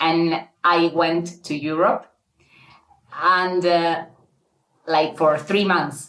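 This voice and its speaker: Using a Spanish accent, a woman with a fairly low pitch speaks at a very slow pace with long, frequent pauses. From Argentina. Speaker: guest telling her dating story. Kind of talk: casual interview, personal story. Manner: halting, many fillers and repeats.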